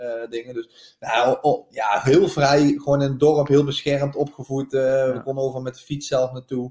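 The man speaks at a moderate pace with a fairly high pitch. His intonation is fairly even, though his loudness swings a lot. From Netherlands, North Limburg. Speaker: professional footballer. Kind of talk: interview. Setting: remote call.

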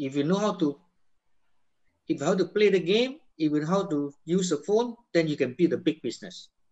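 A man speaks at a high pitch and a fairly quick pace, with lively intonation. His delivery has long, frequent pauses. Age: 60s. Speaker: network marketing business leader. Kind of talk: motivational talk.

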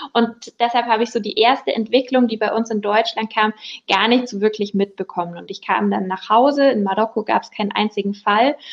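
A woman talks at a fairly quick pace in a plain, everyday voice with a fairly high pitch. Her intonation stays fairly even while her loudness swings widely. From Upper Bavaria, Germany. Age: 20s. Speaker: insurance broker, business owner. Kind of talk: casual interview.

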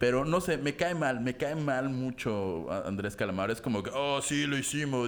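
A man with a Mexican accent at a moderate pace. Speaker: podcast host. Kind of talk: casual chat.

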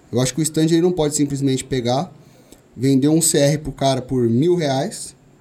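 The tone is dark and mellow. Delivery moves at a fairly quick pace. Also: man. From São Paulo, east zone (Vila Ré). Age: 20s. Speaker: shooting instructor and gun club owner. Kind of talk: casual interview.

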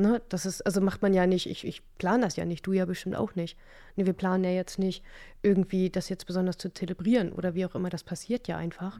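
In a very clean recording with a silent background, a woman talks at a fairly quick pace. She has a plain, everyday voice with fairly even intonation. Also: medium pitch for a woman. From northern Germany, Stade (Lower Saxony). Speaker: sound massage therapist. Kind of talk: casual interview.

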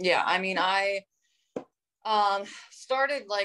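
A woman with a New Jersey accent speaks in a bright, sharp tone. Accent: New Jersey American. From New Jersey (North Jersey). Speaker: professional wrestler. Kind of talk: interview.

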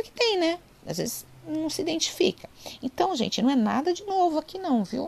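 Extremely high in pitch, a woman's voice swings very widely up and down at a moderate pace. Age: 40s. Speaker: online lecturer on psychology and spirituality. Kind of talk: informal lecture. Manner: conversational, with frequent fillers.

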